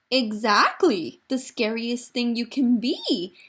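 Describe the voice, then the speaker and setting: A woman's put-on character voice, pitched high. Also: fairly slow pace. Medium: read story. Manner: friendly, cheerful.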